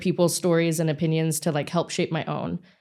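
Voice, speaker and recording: The woman's tone is dark and mellow, captured in a very clean recording with a silent background. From Singapore. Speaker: content creator and consultancy founder. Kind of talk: podcast interview.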